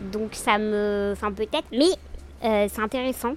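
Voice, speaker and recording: A woman speaks at a moderate pace in an ordinary speaking voice with fairly high pitch. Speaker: lawyer. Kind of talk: casual interview about texts.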